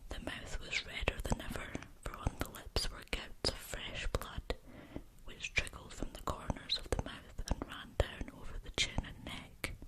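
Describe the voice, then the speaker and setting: A woman whispers at a fairly slow pace with noticeable background noise. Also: big swings in loudness. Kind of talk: whispered ASMR story reading. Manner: whispering, soft.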